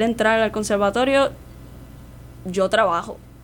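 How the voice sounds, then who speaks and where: Fairly high female voice, fairly slow, with ordinary pitch variation. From Puerto Rico, Santurce (San Juan). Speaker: opera singer and voice teacher. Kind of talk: radio interview.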